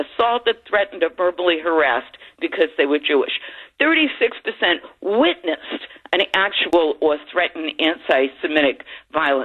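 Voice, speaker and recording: With an American accent, a woman speaks at a moderate pace in a fairly low pitch, her loudness very even while her pitch swings very widely. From Boston. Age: 70s. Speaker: caller. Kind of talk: call-in radio.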